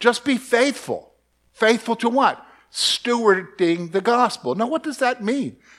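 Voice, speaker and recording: In an American accent, a man with a high pitch talks at a very slow pace with lively intonation on a very clean recording with a silent background. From US South, Columbia, South Carolina. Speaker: bible teacher. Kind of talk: bible study lesson. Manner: conversational.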